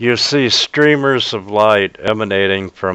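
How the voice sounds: The clip features a natural reading voice.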